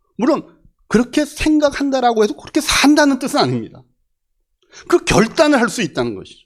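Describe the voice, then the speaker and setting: A man's extremely high-pitched voice at a fairly quick pace, with ordinary pitch variation, long, frequent pauses and big swings in loudness. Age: 60s. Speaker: pastor. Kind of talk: sermon.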